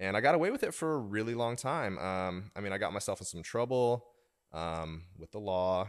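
A man talks fairly quickly in a normal speaking voice, with an American accent and lively intonation. The recording is very clean, with a silent background. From Oklahoma. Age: 30s. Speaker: golf fitness coach, podcast co-host. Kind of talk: casual chat.

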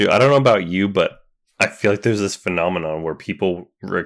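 A man talks at a fairly quick pace in a fairly low pitch with ordinary pitch variation, an ordinary speaking voice. The recording is very clean with a silent background. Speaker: podcast co-host. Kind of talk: casual chat.

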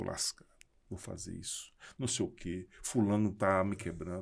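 A man speaks with a very deep, low pitch. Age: 50s. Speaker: architect and entrepreneur. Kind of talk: casual chat. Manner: halting, repeats words.

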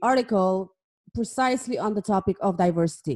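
A woman with a non-native accent speaks at a fairly high pitch in a dark, mellow tone with lively intonation. The recording is very clean, with a silent background. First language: not English. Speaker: podcast host. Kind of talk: interview.

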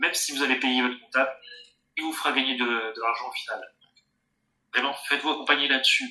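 A man talks at a fairly quick pace in a monotone, flat intonation, with long, frequent pauses and big swings in loudness. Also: medium pitch for a man. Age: 30s. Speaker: board game shop owner. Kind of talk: interview.

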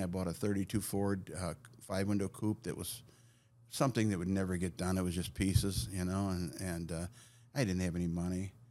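Fairly quick speech from a man with a very deep, low pitch and an American accent. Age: 60s. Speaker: car builder and artist. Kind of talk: casual chat.

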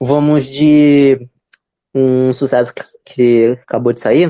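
A man's dark, mellow voice at medium pitch, very slow and full of long, frequent pauses, with a dry, close sound and no echo. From Belém, Pará, Brazil. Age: 20s. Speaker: neighborhood resident guest. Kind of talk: casual chat. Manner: halting.

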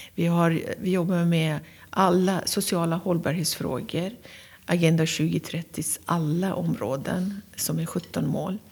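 A woman with a Persian accent speaks at a very slow pace and fairly low pitch. Her voice is somewhat breathy, and her intonation is fairly even. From Iran, Tehran. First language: Persian (speaking Swedish). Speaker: county governor. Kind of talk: interview. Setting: castle office.

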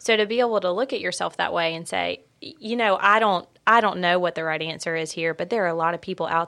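This is a woman with a plain, everyday voice, pitched fairly low and moving at a fairly quick pace. The recording is very clean, with a silent background. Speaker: podcast host. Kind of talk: interview conversation. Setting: studio.

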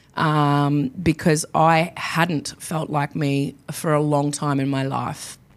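A woman with an Australian accent speaks at a very slow pace, in a very deep, low pitch. She leaves hardly any pauses. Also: very clean recording, silent background. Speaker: podcast host. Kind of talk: solo podcast monologue. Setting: professional podcasting studio. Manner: animated; loud.

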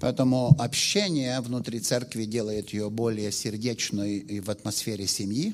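Speaking with an ordinary speaking voice at medium pitch, a man talks at a fairly slow pace with fairly even intonation and hardly any pauses. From Western Ukraine. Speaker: pastor. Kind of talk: sermon. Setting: church. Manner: short phrases with pauses for interpreter.

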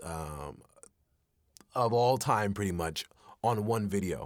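On a very clean recording with a silent background, a man with an ordinary speaking voice talks in a fairly low pitch with lively intonation. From Texas. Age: 20s. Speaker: voice actor. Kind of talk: casual interview.

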